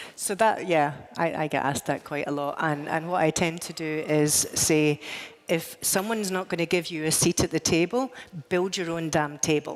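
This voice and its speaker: Over noticeable background noise, a woman with a Scottish accent talks at a moderate pace in a fairly low pitch with ordinary pitch variation. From Scotland. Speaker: tech executive, panel speaker. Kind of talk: panel discussion. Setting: stage with audience.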